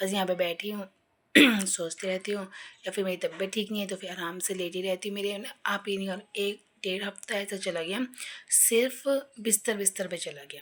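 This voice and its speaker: Her medium-pitched voice stays monotone and flat as this woman speaks at a moderate pace. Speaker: vlogger. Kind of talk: casual vlog talk. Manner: rambling, hesitant.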